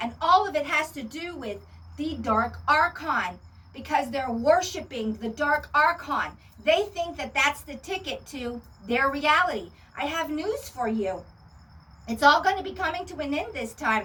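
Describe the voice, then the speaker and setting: A woman's raised, projected voice, high-pitched and bright, sharp in tone, with lively intonation, big swings in loudness and a fairly slow pace. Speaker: spiritual video channel host. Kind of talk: monologue to camera. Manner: animated.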